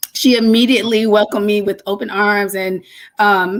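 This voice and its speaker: Over a very clean recording with a silent background, a normal speaking voice with an American accent moves at a moderate pace. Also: woman. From Detroit, Michigan. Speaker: lupus advocate. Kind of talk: interview.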